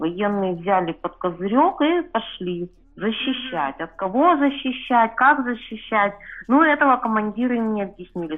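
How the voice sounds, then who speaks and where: Speaking at a fairly slow pace, a woman uses a medium pitch with very wide pitch swings. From Chelyabinsk, Russia. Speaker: reader of the outlet sharing her story. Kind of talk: personal interview story.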